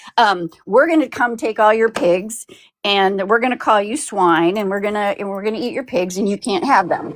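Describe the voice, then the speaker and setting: Lively intonation from a woman at medium pitch, moving at a moderate pace. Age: 60s. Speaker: caller. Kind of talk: casual chat. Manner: halting, repeats words.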